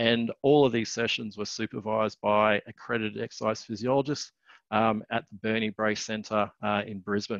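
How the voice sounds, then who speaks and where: Over a quiet background, a man with a fairly low pitch speaks at a moderate pace in a monotone, flat intonation, and the sound is dry with no echo. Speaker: exercise science academic; presenter. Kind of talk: webinar presentation. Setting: online webinar. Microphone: webcam.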